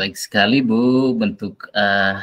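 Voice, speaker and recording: A man speaks at a fairly slow pace with fairly even intonation. His tone is bright and sharp. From Nusa Tenggara Timur, Indonesia. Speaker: teacher acting as coach. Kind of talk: coaching session role-play. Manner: hesitant with fillers.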